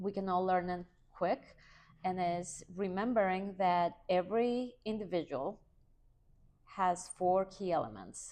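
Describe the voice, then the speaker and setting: With a non-native accent, a woman speaks at a fairly slow pace in a medium pitch, with ordinary pitch variation and a dark, mellow tone. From outside the US, moved as adult. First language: not English. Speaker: HR and workplace culture consultant, author. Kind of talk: podcast interview.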